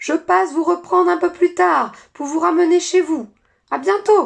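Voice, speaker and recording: In a put-on character voice, the speaker projects a raised, extremely high-pitched, raspy and hoarse sound. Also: moderate pace. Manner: calling out as he leaves.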